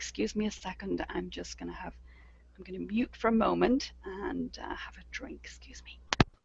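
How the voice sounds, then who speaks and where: A woman whispers at a moderate pace, her loudness swinging widely. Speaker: webinar presenter. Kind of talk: software tutorial. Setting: webinar. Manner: halting.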